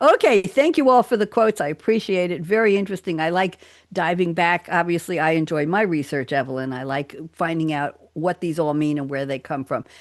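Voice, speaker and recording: A woman with an American accent talks in a normal speaking voice, fairly low in pitch, against a quiet background. Her intonation is lively, and she moves at a fairly quick pace with hardly any pauses. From New York. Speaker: radio talk show host. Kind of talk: casual roundtable chat. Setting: live radio studio.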